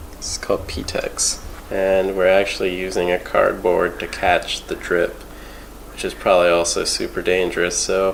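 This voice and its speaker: Noticeable background noise is present throughout. A man speaks over it at a moderate pace. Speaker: amateur snowboard repairer. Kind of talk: casual how-to talk with a friend.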